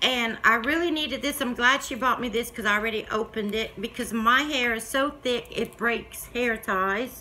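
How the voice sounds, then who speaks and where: This woman has a Southern US accent. Her pitch sits fairly high. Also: moderate pace, hardly any pauses. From US South. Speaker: YouTube crafter; vlogger. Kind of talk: casual chat. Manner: animated. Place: home room. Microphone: phone near.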